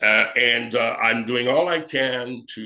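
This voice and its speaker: A man speaks with a French Canadian accent. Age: 70s. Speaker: actor, film director and acting teacher. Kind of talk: interview conversation. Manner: halting, many fillers.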